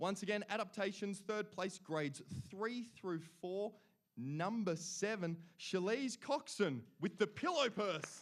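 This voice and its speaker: With an Australian accent, a man speaks at a high pitch and a fairly slow pace, his tone animated and his pitch variation ordinary. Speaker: awards emcee. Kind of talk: awards ceremony announcing. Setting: stage with audience.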